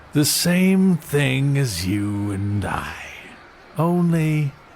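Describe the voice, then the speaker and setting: Over clear background noise, a man puts on a character voice, speaking very slowly at a fairly high pitch. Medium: audio drama. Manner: measured, condescending.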